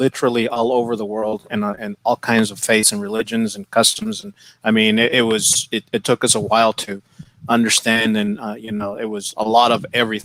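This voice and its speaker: A man with an American accent and a plain, everyday voice talks fairly quickly at medium pitch with fairly even intonation, the sound dry and close with no echo on a very clean recording with a silent background. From El Paso, Texas. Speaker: podcast host. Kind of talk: casual interview.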